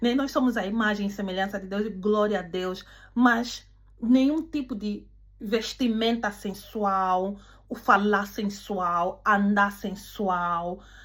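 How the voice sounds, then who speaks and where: In a non-native accent, the speaker talks at a very slow pace with ordinary pitch variation and audible room echo. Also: woman, medium pitch for a woman. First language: not Portuguese (speaking Portuguese). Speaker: preacher. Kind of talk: sermon. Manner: halting.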